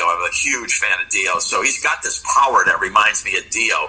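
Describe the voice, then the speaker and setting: A man talks at a moderate tempo. Music is playing behind him. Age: 60s. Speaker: rock guitarist. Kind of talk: casual interview chat. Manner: halting, many fillers and restarts.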